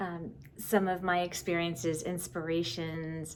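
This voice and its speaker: In a room with audible echo, a woman speaks very slowly in a fairly low, monotone voice with flat intonation. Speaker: knitting podcaster. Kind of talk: casual video podcast monologue.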